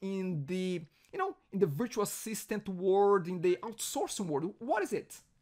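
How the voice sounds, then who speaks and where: A man's high voice in a strong Brazilian accent. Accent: heavy Brazilian Portuguese. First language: Portuguese. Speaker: podcast host. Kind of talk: interview.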